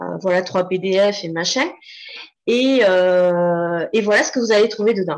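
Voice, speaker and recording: A woman with a normal speaking voice talks at a medium pitch and a fairly slow pace, with ordinary pitch variation. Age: 40s. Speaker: copywriter. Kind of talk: casual interview.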